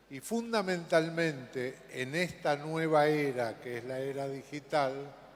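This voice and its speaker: A man speaks at a fairly slow pace and fairly high pitch, with ordinary pitch variation and big swings in loudness. Noticeable background noise and audible room echo are present. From Argentina, Buenos Aires. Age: 70s. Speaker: conference speaker. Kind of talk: conference talk.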